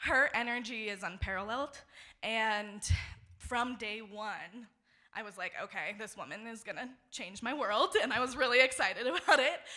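Against a quiet background, the voice has a bright, sharp tone, ordinary pitch variation, a moderate pace and big swings in loudness. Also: woman, fairly high pitch for a woman. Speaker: social work graduate student; storyteller. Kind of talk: live storytelling. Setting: stage with audience. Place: stage. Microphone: handheld.

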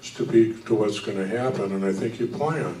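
With an American accent, a man speaks at a moderate pace in a fairly low voice, with audible room echo and light background noise. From US Midwest. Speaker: retired federal government employee, panelist; presenter. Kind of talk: church adult forum panel discussion. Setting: church. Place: hall.

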